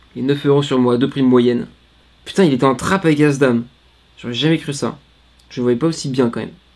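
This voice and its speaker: A man with a fairly high pitch talks at a very fast pace with ordinary pitch variation, yet leaves long, frequent pauses. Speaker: poker streamer. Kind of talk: live poker commentary.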